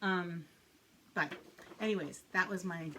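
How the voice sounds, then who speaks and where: Her tone is bright and sharp. The woman's fairly low pitch moves with ordinary variation. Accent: American. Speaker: cross-stitch video blogger. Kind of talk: casual chat. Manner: hesitant, many fillers and repeats.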